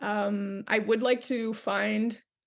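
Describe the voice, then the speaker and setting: Fairly even intonation marks this woman's fairly high-pitched, a plain, everyday voice. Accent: Canadian. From Canada. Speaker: actress. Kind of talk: interview answer.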